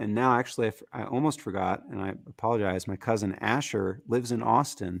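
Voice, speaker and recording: The recording is very clean, with a silent background. Speech moves at a fairly quick pace with ordinary pitch variation and hardly any pauses. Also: man, medium pitch for a man. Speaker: singer-songwriter. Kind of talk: interview.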